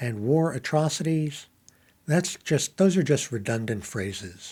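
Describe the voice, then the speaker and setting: A man's fairly high voice, dark and mellow in tone, with lively intonation on a very clean recording against a silent background. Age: 70s. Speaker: YouTuber practicing on-camera presenting. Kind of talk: impromptu solo monologue reacting to headlines. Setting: alone in an empty room talking to camera. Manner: halting, many fillers.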